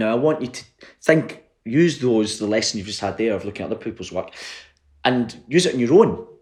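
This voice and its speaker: A man with a Glaswegian accent, medium-pitched, very fast, with lively intonation and big swings in loudness. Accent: Glaswegian Scottish. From Scotland, Glasgow. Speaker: playwright. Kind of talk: online workshop. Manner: casual, hesitant with fillers.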